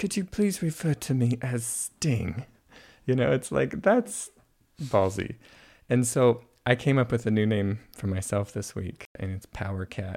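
This man has an ordinary speaking voice at a medium pitch. He moves at a fairly slow pace with lively intonation. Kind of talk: reflective conversation. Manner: warm, laughs often.

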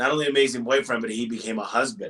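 A man speaks loudly with an American accent. His tone is bright and sharp. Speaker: business owner. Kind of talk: interview. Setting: in person at an office.

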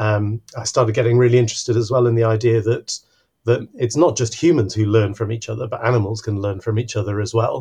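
Speaking at a very fast pace over a quiet background, a man uses a medium pitch, a dark, mellow tone, a somewhat breathy quality and fairly even intonation. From Mexico City, Mexico. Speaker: biology professor. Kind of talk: podcast interview.

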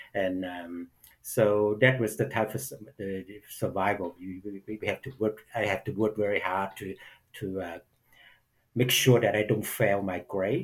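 Very clean and set against a silent background, this recording has a man with a Vietnamese accent speaking at a fairly slow pace, with long, frequent pauses. His voice is fairly low and somewhat breathy, with ordinary pitch variation. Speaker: actor. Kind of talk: interview conversation. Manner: halting, many fillers.

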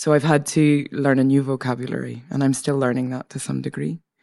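This woman has a very deep, low pitch and a dark, mellow tone. She talks at a moderate pace against a quiet background. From Northern Ireland. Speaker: poet and performer. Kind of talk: interview. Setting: studio.

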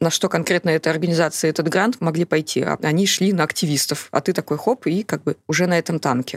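This woman has an ordinary speaking voice, fairly low in pitch, with fairly even intonation at a fairly quick pace, and the sound is dry and close with no echo. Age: 30s. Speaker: journalist and HIV activist. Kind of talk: interview conversation.

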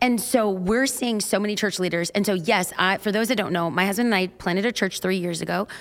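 A woman with a Californian accent speaks very fast, barely pausing. Her pitch sits in the medium range and varies in an ordinary way. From Los Angeles. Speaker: preacher and church pastor. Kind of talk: interview chat.

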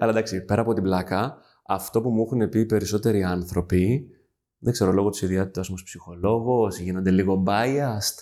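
In a dark, mellow tone, a man talks at a moderate pace with a fairly low pitch, very even loudness and fairly even intonation. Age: 30s. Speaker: HR manager. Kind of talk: interview.

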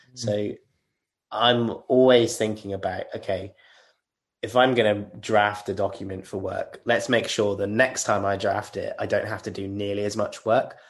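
Against a quiet background, a man talks with a British accent. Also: moderate pace. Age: 30s. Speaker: legal engineer. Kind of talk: interview.

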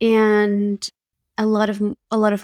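A woman with a slight Argentine accent speaks at a medium pitch, and the sound is dry and close with no echo. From Argentina. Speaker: photographer and confidence coach. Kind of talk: podcast interview.

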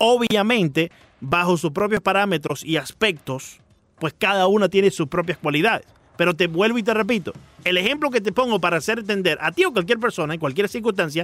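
With lively intonation and very even loudness, a man speaks at a high pitch. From Miami. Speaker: sports radio host. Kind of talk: casual chat. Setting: studio.

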